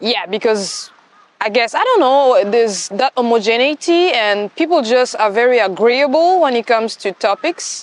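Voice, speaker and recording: With a high voice and lively intonation, a woman speaks at a moderate pace and very even loudness. The sound is dry and close with no echo, though background noise is noticeable. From Democratic Republic of the Congo. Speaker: consultant and doctoral student. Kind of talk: interview answer. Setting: outdoors. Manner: friendly.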